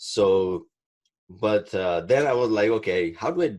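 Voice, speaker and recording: A man's fairly low pitch. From Pakistan, Karachi. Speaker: IT professional and webinar speaker. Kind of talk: webinar talk. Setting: online webinar. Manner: halting, many fillers.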